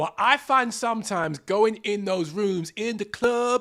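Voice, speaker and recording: A man's raised, projected voice, high in pitch with a bright, sharp tone, on a very clean recording against a silent background. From England, London. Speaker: podcast host. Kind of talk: solo podcast monologue. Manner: animated.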